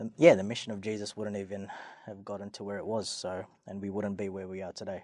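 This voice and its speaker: A man with an Australian accent, fairly low in pitch, talking at a fairly quick pace in a monotone, flat delivery over a quiet background. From Australia, Sydney. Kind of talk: casual interview. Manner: halting.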